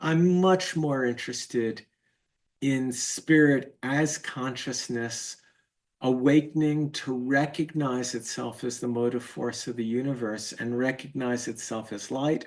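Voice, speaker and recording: Against a quiet background, a man with medium pitch speaks at a fairly slow pace with fairly even intonation, an ordinary speaking voice. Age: 60s. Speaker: teacher of Chinese medicine and spiritual course. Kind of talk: lecture.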